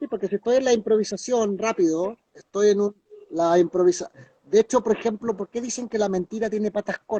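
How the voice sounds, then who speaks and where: Speaking at a fairly quick pace, a man holds a high pitch with fairly even intonation. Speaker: therapist and hypnotist. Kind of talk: live-stream interview chat. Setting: online live stream. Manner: fast.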